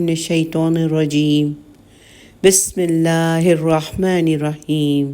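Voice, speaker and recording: Fairly low-pitched woman's voice with a dark, mellow tone. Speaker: Quran commentary narrator. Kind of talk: religious commentary lecture.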